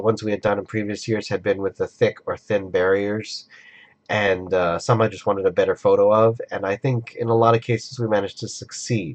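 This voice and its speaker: Against a quiet background, a man speaks at a fairly quick pace and a fairly low pitch in a monotone, flat intonation, with a dry, close sound and no echo. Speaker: convention-going fan and video creator. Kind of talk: casual vlog talk to camera. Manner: rambling, hesitant.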